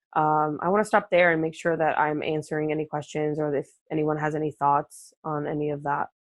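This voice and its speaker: A woman's very deep, low voice, fairly quick with hardly any pauses, monotone and flat, in a dry, close sound with no echo against a quiet background. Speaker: marketing professional, webinar guest speaker. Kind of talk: live webinar presentation. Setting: live webinar, online. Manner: fast; many fillers and restarts.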